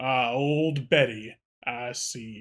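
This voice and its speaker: A man puts on a character voice. His pitch is medium, his intonation fairly even. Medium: actual play. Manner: laid-back, mildly courteous.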